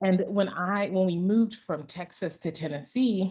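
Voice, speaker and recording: An animated woman's voice with a fairly low pitch. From Ghana, raised in US South. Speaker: tech product evangelist. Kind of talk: storytelling talk.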